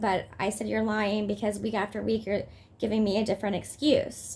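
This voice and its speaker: A woman with a fairly high pitch speaks at a moderate pace, with vocal fry. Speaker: mother in custody dispute vlogging. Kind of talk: personal vlog update. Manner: agitated, hesitant with fillers.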